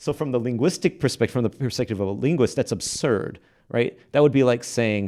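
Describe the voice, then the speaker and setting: A man's medium-pitched voice with an American accent, lively intonation and a fairly quick pace. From Texas, Fort Worth. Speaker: linguistics professor. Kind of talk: podcast interview. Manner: hesitant, many fillers.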